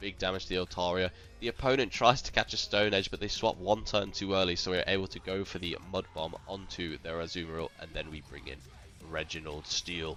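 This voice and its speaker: A man's very deep, low voice at a fairly quick pace, ordinary pitch variation, and music in the background. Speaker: gaming YouTuber. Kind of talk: live commentary.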